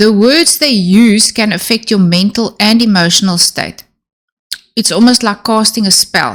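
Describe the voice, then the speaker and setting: At a fairly slow pace, a woman speaks in a somewhat breathy voice at fairly high pitch, with ordinary pitch variation and very even loudness. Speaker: self-help YouTuber on narcissistic abuse. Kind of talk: Q&A monologue. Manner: slow, deliberate.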